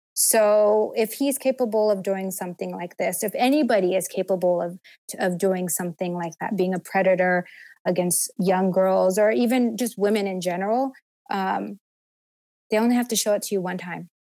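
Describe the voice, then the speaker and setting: A woman speaks in a normal speaking voice at medium pitch, with ordinary pitch variation and a moderate pace. The recording is very clean with a silent background. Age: 30s. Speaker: abuse survivor. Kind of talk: testimony.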